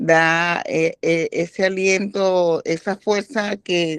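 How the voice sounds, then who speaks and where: A woman at medium pitch speaks with fairly even intonation in a dry, close recording with no echo. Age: 60s. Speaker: participant in bible health class. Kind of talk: group discussion. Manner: halting.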